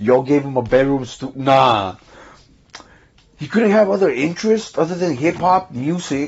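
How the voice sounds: With a slightly husky edge, a man speaks at a fairly slow pace and medium pitch, his voice making big pitch swings.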